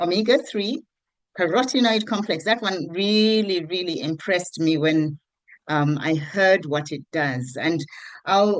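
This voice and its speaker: Speaking at a fairly slow pace, a woman with a plain, everyday voice and fairly low pitch uses lively intonation over a quiet background. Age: 60s. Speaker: network marketing presenter. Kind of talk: online group meeting.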